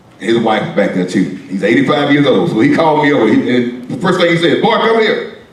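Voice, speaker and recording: A fairly quick, lively delivery amid noticeable background noise and audible room echo. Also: man. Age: 60s. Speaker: pastor. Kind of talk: storytelling to a class. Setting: classroom.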